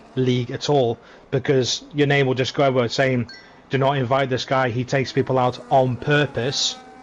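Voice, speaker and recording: Speech in a British accent comes at a fairly quick pace with monotone, flat intonation. Noticeable background noise sits underneath. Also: man. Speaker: sim racing commentator. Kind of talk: live commentary.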